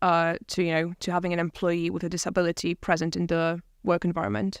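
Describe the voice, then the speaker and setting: A woman speaks at a very fast pace with a fairly low pitch. Her intonation is fairly even. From Poland. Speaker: university staff member and recent graduate. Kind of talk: conversational interview.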